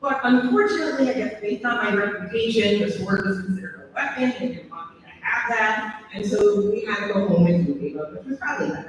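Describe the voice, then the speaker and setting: Amid noticeable background noise and audible room echo, a woman talks at a fairly quick pace with lively intonation and medium pitch. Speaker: teacher. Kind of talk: ceremony speech. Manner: loud.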